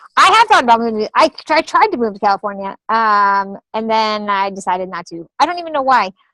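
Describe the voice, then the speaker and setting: Against a dry, close sound with no echo, a woman speaks at a moderate pace in a fairly high, bright, sharp voice with lively intonation. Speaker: comedian and actress. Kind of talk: interview.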